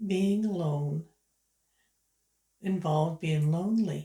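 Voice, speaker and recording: Speaking very slowly with a Canadian Maritime accent, a woman uses a fairly low, somewhat breathy voice with a dark, mellow tone and fairly even intonation. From Canada, Prince Edward Island. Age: 70s. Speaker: YouTuber, retired writer. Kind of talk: casual vlog monologue.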